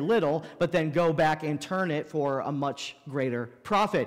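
Ordinary pitch variation from a man at a moderate pace, quiet background. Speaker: pastor. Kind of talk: sermon. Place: church.

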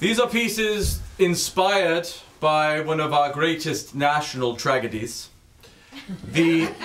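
A man speaks with lively intonation. Light background noise can be heard. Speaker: comic performer reading pieces. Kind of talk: comedic dramatic reading. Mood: grandiose, mock solemn. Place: stage.

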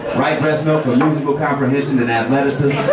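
Through loud background noise, a man with an American accent talks at a very fast pace. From Portland, Oregon. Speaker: stand-up comedian and host. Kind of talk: stand-up comedy: profane, crowd-baiting storytelling, setup-punchline jokes. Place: stage.

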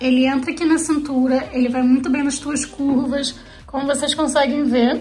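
A woman talks at a moderate pace in a high pitch. Faint music plays in the background. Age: 20s. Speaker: fashion vlogger and law student; fashion vlogger. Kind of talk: casual fashion vlog. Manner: animated.

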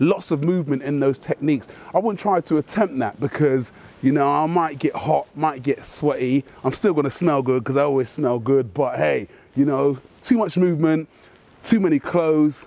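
A man's dark, mellow voice, dry with no echo, moves at a moderate pace with ordinary pitch variation. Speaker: martial arts instructor. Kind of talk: tutorial. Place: street.

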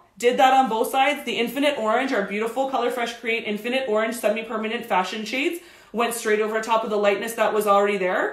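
Speaking at a fairly quick pace with hardly any pauses, a woman uses a fairly high pitch and ordinary pitch variation while room echo is audible. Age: 30s. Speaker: hair stylist educator. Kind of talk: live tutorial stream. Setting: home studio, live stream. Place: studio.

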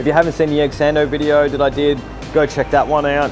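Clear background music behind a man's voice. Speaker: food reviewer. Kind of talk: casual vlog chat. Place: street.

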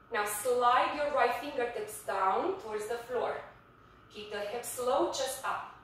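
A woman's voice at a fairly slow pace amid strong room echo. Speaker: fitness instructor. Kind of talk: guided yoga class, calm step-by-step cueing. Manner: soft, slow, soothing pace with pauses for breathing; instructive, clear and directive. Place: home room. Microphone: camera far.

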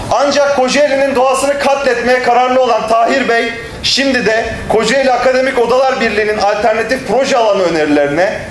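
Amid audible room echo and light background noise, a man talks at a fairly quick pace in an extremely high pitch with ordinary pitch variation. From Turkey. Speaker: local party leader. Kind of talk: political speech. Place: hall. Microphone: podium.

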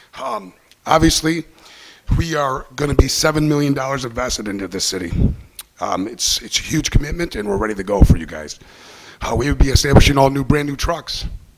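A man speaks at a fairly quick pace in a fairly high pitch, his intonation lively. Noticeable background noise runs underneath. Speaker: waste company manager. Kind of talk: sales pitch. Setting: city council meeting. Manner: hesitant, many fillers.

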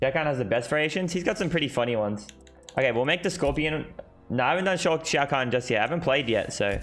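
Over faint background music, a man with an Australian accent talks very fast in a fairly high pitch with lively intonation. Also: very even loudness. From Australia, Sydney. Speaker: gaming streamer. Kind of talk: live stream commentary. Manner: casual, fast. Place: home room. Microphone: headset.

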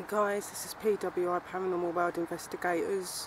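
A woman's fairly low-pitched, monotone, flat delivery, dry with no echo, over noticeable background noise. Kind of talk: casual vlog chat. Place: forest. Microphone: camera far.

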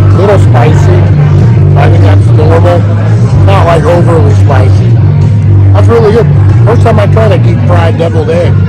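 A man's speech with long, frequent pauses over loud background music. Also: ordinary pitch variation, moderate pace. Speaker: food vlogger. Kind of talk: casual vlog chat. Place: cafe. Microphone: phone near.

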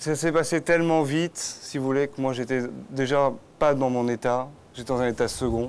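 At a moderate pace, a man talks in a medium pitch with fairly even intonation. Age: 30s. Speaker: author of a memoir; guest. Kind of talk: TV talk show interview. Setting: outdoor TV set in Cannes. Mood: earnest, personal, emotional topic. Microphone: lapel.

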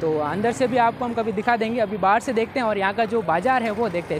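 A man's high-pitched voice at a moderate pace, with ordinary pitch variation, a dry sound without echo and light background noise. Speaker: travel vlogger. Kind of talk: casual vlog chat. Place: market. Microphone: lapel.

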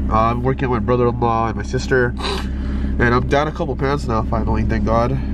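A man with a very deep, low voice speaks fairly fast in a flat monotone, hardly pausing. The sound is dry with no echo, over loud background noise. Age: 20s. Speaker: car vlogger. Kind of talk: casual vlog narration; casual vlog chat. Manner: casual, halting with fillers. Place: car. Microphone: phone near.

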